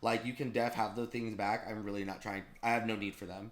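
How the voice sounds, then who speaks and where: An animated-sounding man. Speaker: podcast host. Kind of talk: casual chat. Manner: fast.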